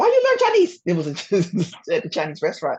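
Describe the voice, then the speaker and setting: A woman with a Southern US accent and ordinary pitch variation. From US South. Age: 40s. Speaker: language teacher. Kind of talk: interview.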